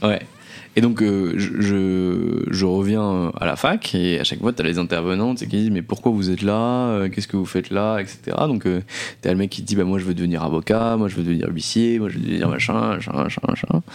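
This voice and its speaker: This man speaks at a moderate pace. His pitch is fairly low. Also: ordinary pitch variation. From northeastern France (Nancy). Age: 20s. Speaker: entrepreneur. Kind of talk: interview. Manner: halting, many repeated words.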